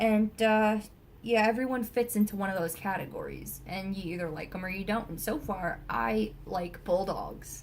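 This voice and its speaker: A woman talks at a moderate pace in a fairly high pitch, her animated tone showing ordinary pitch variation. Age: 20s. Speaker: vlogger. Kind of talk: rant. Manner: loud.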